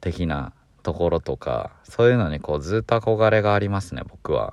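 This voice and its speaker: In a dry, close recording with no echo and a quiet background, a man with a fairly low pitch speaks at a moderate pace in a normal speaking voice with lively intonation. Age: 20s. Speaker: podcast co-host. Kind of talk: solo casual monologue. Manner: rambling, relaxed.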